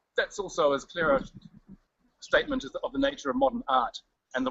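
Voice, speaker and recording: A man with a New Zealand accent talks at a very fast pace. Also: long, frequent pauses. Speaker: writer giving a city tour. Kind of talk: live walking tour on video stream. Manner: loud; casual, animated.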